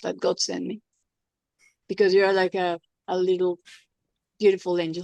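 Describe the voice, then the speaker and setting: A woman with a Spanish accent speaks at medium pitch and a moderate pace, in a dark, mellow tone with monotone, flat intonation. Her long, frequent pauses come through in a dry, close sound with no echo. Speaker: former TV personality, patient giving testimonial. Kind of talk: testimony. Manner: halting, repetitive.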